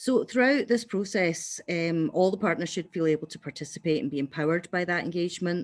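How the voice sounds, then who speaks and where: Lively intonation from a woman with a fairly low pitch, on a very clean recording with a silent background. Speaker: evaluation researcher. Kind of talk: conference workshop presentation. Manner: fast.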